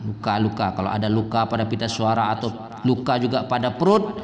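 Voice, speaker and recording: A man talks fairly quickly while noticeable noise fills the background. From Indonesia (West Sumatra). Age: 60s. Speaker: Quran reciter and teacher. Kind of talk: religious talk, giving health advice.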